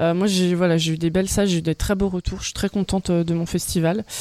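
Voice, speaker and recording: A woman's fairly low, fairly evenly intoned voice in a dry, close sound with no echo, plus noticeable background noise. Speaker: stage performer. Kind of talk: casual chat.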